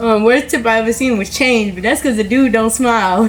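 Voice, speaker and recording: Through noticeable background noise, a woman with an American accent speaks at a very fast pace. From US Mid-Atlantic (Harrisburg PA, Baltimore from teens). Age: 20s. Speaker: person in addiction, interviewee. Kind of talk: interview / testimony. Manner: casual, rambling with fillers.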